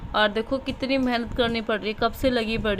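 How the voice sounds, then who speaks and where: Against noticeable background noise, a woman speaks in a fairly high voice with monotone, flat intonation. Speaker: homemaker vlogger. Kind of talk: casual vlog narration. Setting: at home, partly in sunny courtyard. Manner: blunt, brusque-sounding delivery.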